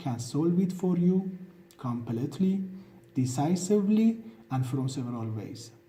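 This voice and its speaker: Speech comes at a moderate pace with a non-native accent. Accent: non-native accent, self-described as bad. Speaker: channel owner presenting own ideas. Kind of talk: self-presentation monologue.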